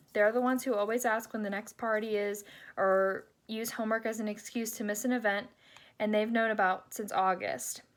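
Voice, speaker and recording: With an ordinary speaking voice, a woman talks at a fairly high pitch and a fairly quick pace with fairly even intonation, on a very clean recording with a silent background. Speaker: graduating sorority member. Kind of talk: reading aloud a farewell letter.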